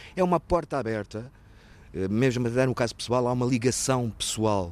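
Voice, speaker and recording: The speaker is a man with a medium pitch. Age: 50s. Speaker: former patient in alcohol recovery. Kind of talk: testimony. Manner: halting.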